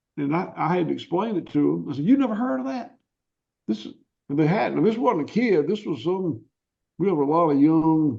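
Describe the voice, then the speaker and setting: A man with a Southern US accent speaks at a fairly quick pace in a fairly high pitch, his intonation lively. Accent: Southern US (Georgia). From US South, rural Georgia. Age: 60s. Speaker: cattle farmer. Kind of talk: interview. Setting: podcast interview.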